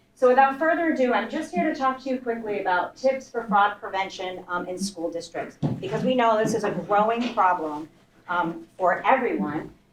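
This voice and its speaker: A woman talks at a moderate pace and a fairly high pitch against noticeable background noise. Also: lively intonation. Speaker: banking executive. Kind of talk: presentation. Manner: loud.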